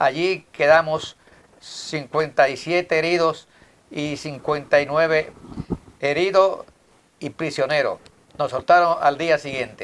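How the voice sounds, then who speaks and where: In a Dominican Cibao accent, the speaker goes at a very slow pace with fairly even intonation and long, frequent pauses. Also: man, fairly high pitch for a man. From Dominican Republic, Moca. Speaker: TV host and journalist. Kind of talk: TV interview.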